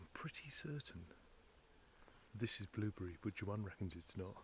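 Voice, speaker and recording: Whispering and somewhat breathy, a man speaks at a moderate pace with an English accent. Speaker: caravan travel vlogger. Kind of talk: casual vlog narration. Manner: chatty.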